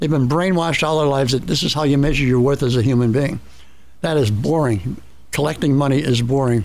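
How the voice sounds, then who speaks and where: A man's fairly high voice at a very fast pace, with ordinary pitch variation, very even loudness and audible room echo. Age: 70s. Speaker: health advocate guest. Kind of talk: radio interview. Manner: halting, repetitive.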